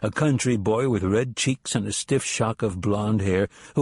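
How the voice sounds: Pitch varies in an ordinary way. The delivery is a natural reading voice.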